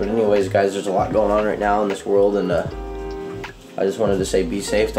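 Clear music plays in the background as the voice goes at a fairly quick pace. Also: man. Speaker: fishing vlogger. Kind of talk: casual vlog chat. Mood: subdued, serious about fires. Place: kitchen. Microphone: phone near.

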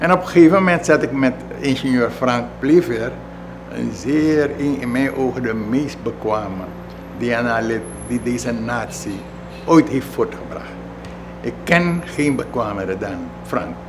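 Speaking at a fairly slow pace, a man leaves long, frequent pauses over noticeable background noise. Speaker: former politician recalling history. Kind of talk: interview answer. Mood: relaxed, amused storytelling. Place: home room.

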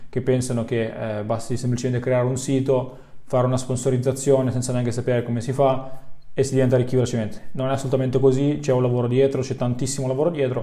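A man speaks at a very fast pace in monotone, flat intonation. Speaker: online business coach. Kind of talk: educational vlog talk. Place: home room.

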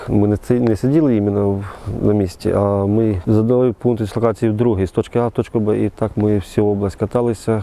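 Fairly quick delivery in a man's fairly low voice. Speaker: soldier, war veteran. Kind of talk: interview testimony. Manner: halting, with false starts.

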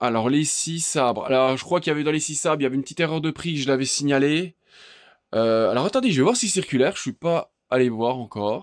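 On a very clean recording with a silent background, a man at a fairly high pitch speaks at a very fast pace. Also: ordinary pitch variation. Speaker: DIY tool video maker. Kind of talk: screen tour tutorial. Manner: halting.

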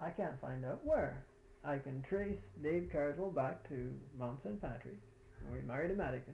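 Vocal fry runs through this man's dark, mellow tone as he speaks at a moderate pace against light background noise. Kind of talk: interview conversation. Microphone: old recording.

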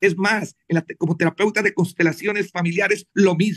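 Over a quiet background, a man speaks with high pitch and fairly even intonation. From Colombia. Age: 60s. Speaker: doctor; guest. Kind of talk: panel interview. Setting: video call. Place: home room. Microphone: video call.

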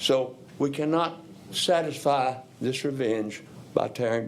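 There is audible room echo around a man speaking. His voice sits at a medium pitch with ordinary pitch variation. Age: 70s. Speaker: retired educator, public commenter. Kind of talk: public comment at council meeting.

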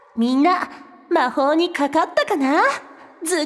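A woman uses a put-on character voice with a bubbly tone and an extremely high pitch. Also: moderate pace. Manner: bubbly, cute.

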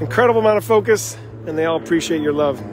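Music plays in the background as the speaker talks at a very fast pace with lively intonation, the sound dry with no echo. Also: man. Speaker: live race announcer. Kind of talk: live race commentary. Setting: outdoors. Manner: animated; fast talker. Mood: cheerful, upbeat. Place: street. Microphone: phone near.

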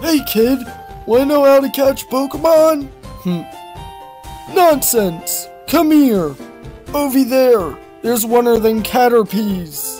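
In a cartoonish character voice, a man speaks at a fairly slow pace and an extremely high pitch, with clear music in the background. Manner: gruff, scattered, excitable.

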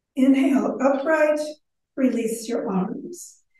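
With audible room echo around her, a woman speaks in a high-pitched voice. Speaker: yoga instructor. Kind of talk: guided exercise instruction. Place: hall. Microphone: camera far.

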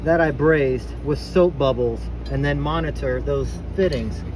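There is noticeable background noise as a man talks at a moderate pace, his voice dry with no echo. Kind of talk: tutorial. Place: open country. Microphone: phone near.

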